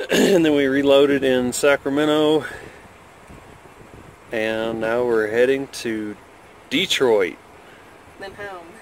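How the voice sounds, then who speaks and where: At a fairly slow pace, a man speaks with ordinary pitch variation in a dry sound with no echo and light background noise. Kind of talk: casual vlog chat. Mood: relaxed. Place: car. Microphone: phone near.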